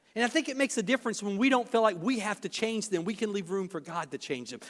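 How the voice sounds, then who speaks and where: A man speaks with a high pitch. The intonation rises and falls in a lively way. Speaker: pastor. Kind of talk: sermon. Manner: fast.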